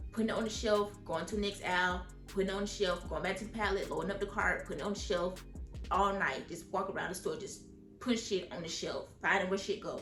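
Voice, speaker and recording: A woman talks at a very fast pace in a medium pitch, her intonation monotone and flat. Music plays in the background. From Atlanta, Georgia. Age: 20s. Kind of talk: casual storytime talk to camera.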